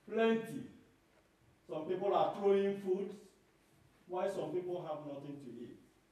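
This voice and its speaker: A man's high voice at a fairly slow pace, with long, frequent pauses, big swings in loudness, ordinary pitch variation and strong room echo. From Nigeria. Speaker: lay preacher. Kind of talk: sermon. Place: hall.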